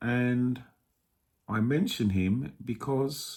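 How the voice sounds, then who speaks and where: Speaking very slowly with an English accent, a man uses a medium pitch. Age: 60s. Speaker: vlogger. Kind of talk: casual monologue. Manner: hesitant, many fillers.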